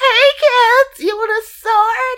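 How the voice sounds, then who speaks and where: The pitch sits extremely high. It is a put-on character voice. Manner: creepy.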